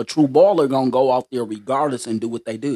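The recording is dry and close, without any echo. A man talks at a medium pitch. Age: 50s. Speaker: podcast guest. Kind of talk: casual chat.

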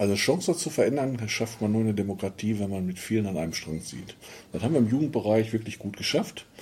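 A man with a fairly low pitch and a dark, mellow tone sounds somewhat breathy. He keeps a fairly quick pace with ordinary pitch variation. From Ruhr area, Germany (Dinslaken). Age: 50s. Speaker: mayoral candidate, former miner. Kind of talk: interview.

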